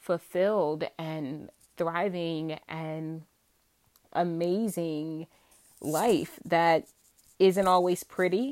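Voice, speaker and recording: A woman with an American accent and fairly even intonation. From Virginia, US South. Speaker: podcast host, homemaker and mom. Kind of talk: casual solo monologue.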